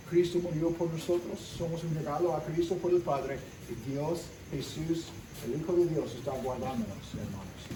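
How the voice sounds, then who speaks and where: Speaking with a non-native accent, a man keeps a moderate pace at a fairly high pitch with ordinary pitch variation. Room echo is audible and background noise is noticeable. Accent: English-speaking foreigner speaking Spanish. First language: English (speaking Spanish). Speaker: pastor. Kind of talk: sermon.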